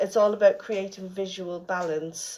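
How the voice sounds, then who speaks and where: The speaker has an Irish accent and a fairly slow pace. Their intonation stays monotone and flat. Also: woman. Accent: Irish, can't say 'th'. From Ireland, Dublin. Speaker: florist and celebrant. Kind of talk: radio interview. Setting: radio studio. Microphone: recorded on phone, bad audio.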